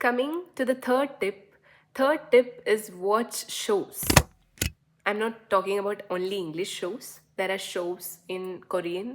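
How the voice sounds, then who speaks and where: A woman with a Keralan accent, at a medium pitch and a very slow pace, with lively intonation. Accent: Indian English, Malayali. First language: Malayalam. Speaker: YouTuber. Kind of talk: casual talking-head vlog. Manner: halting, with many fillers.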